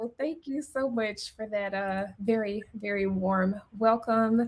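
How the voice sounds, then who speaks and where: With a Memphis accent, the speaker goes at a very slow pace with hardly any pauses. The intonation stays fairly even. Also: woman. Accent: Memphis Southern. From Memphis, Tennessee. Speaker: accountant. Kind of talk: webinar presentation. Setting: live stream.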